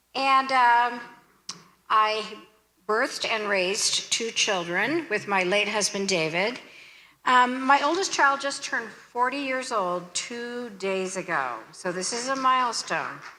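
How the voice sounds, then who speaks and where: A bright, sharp tone with lively intonation at a fairly slow pace, amid audible room echo. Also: woman, fairly high pitch for a woman. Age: 60s. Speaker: pastor. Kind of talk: sermon.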